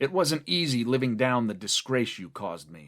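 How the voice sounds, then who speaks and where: Putting on a character voice, a man growls in a raspy, medium-pitched tone at a moderate pace, with very wide pitch swings and big swings in loudness. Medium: read story. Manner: superior and bitter.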